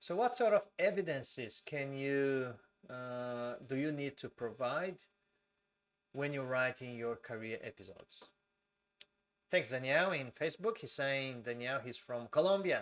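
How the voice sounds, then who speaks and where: A man with a Brazilian accent, fairly high pitch, lively intonation and a fairly slow pace. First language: Portuguese. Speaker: civil engineer and migration advisor. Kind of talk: live stream Q&A tutorial. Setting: live stream. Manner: slow, deliberate; hesitant, many fillers.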